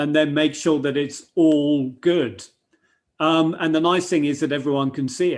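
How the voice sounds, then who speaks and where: A man talks in a normal speaking voice at a fairly high pitch. He keeps a fairly slow pace and fairly even intonation. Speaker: software demonstrator. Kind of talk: webinar software demo.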